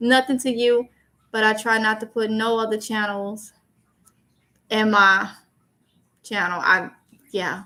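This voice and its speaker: With an American accent, the speaker talks at a fairly slow pace in a bright, sharp tone, with monotone, flat intonation and long, frequent pauses. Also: woman, fairly high pitch for a woman. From Mississippi, US South. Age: 30s. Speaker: YouTuber, livestream host. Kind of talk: casual livestream chat, reading comments. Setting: live stream.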